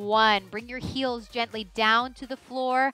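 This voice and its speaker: The voice is raised and projected, moving at a fairly slow pace. Faint music plays in the background of the dry, echo-free sound. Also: woman. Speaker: fitness trainer. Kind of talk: exercise class instruction. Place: studio. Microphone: headset.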